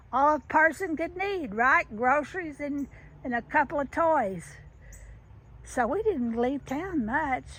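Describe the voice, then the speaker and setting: In a Southern US accent, a woman speaks at a high pitch with lively intonation. Her pace is fairly slow, and the recording is very clean with a silent background. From US South. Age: 70s. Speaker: children's author. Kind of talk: casual vlog monologue. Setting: outdoors in garden. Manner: halting, many restarts.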